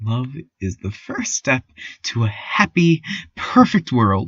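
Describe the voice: A man's put-on character voice at medium pitch, fairly bright with a slightly husky edge, slow in pace and full of big pitch swings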